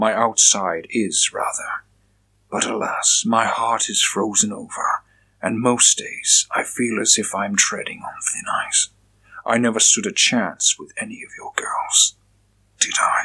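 The delivery is a put-on character voice. It moves at a fairly slow pace. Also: man. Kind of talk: gothic Victorian drama. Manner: cold, brooding, menacing.

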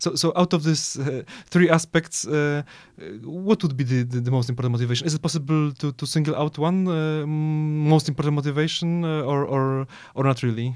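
A man with a Polish accent talks at a fairly quick pace and a fairly high pitch. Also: fairly even intonation. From Poland. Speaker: podcast host. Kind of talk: interview. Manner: halting, many repetitions.

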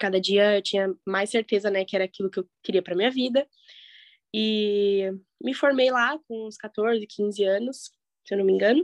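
A woman at medium pitch with ordinary pitch variation and a moderate pace, a plain, everyday voice, in a dry, close sound with no echo. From Curitiba, southern Brazil. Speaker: professional ballet dancer. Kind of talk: casual interview.

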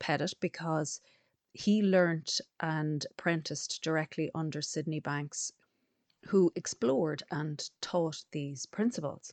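A woman speaks very slowly in an Irish accent, her pitch very deep and low. The background is quiet. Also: ordinary pitch variation, dry, close sound with no echo. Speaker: podcast host and coach. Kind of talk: scripted intro; interview.

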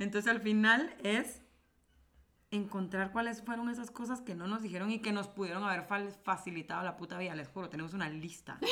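Against noticeable background noise, a woman speaks fairly quickly in an animated tone, with a medium pitch and ordinary pitch variation. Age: 30s. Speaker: podcast co-host, creative director. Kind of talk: casual chat. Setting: studio.

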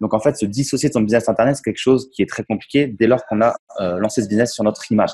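At a very fast pace, a man talks with a medium pitch and fairly even intonation. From Champagne, France. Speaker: entrepreneur and investor. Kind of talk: interview. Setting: remote call from a café.

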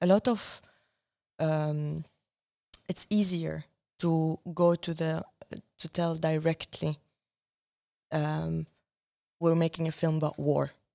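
A woman with an Arabic accent speaks very slowly in a very deep, low pitch, her tone dark and mellow and her intonation fairly even, leaving long, frequent pauses. The recording is very clean, with a silent background and a dry, close sound with no echo. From Syria. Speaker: documentary filmmaker. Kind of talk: interview conversation. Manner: reflective, hesitant with fillers.

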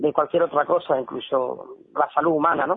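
A man talks at a moderate pace in a fairly high voice. His intonation is monotone and flat. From Spain. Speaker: MMA commentator and journalist. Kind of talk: casual interview.

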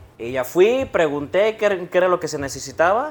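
A man at a fairly slow pace. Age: 30s. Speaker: barber. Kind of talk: interview. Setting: barbershop.

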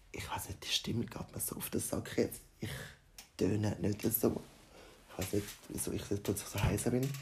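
A man whispers at a fairly slow pace. His pauses are long and frequent. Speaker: podcaster. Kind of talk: casual monologue.

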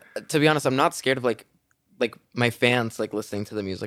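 Talking very fast, a man keeps to a mid-range pitch that moves in a typical way. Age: 20s. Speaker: YouTuber. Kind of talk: casual chat.

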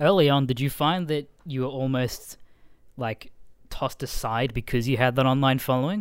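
With an Australian accent, the man talks at a medium pitch. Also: ordinary pitch variation, moderate pace, very clean recording, silent background. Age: 20s. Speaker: podcast host and comedian. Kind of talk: casual chat.

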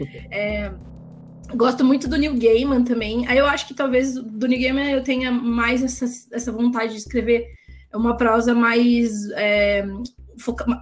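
In a room with audible echo, a woman with a high pitch speaks at a fairly slow pace in a monotone, flat way, leaving long, frequent pauses. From Campinas, interior of São Paulo state, Brazil. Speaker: writer, translator and editor. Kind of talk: casual interview chat.

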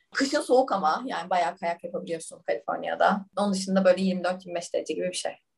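A woman talks very fast with hardly any pauses. Her medium-pitched voice is somewhat breathy, with ordinary pitch variation. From Turkey. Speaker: management consultant. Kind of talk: casual interview.

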